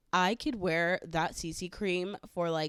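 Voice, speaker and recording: A woman with a Southern Californian accent, fairly low pitch and fairly even intonation, at a fairly slow pace, on a very clean recording with a silent background. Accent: Valley girl. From California, San Fernando Valley. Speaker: podcast host. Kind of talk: casual chat.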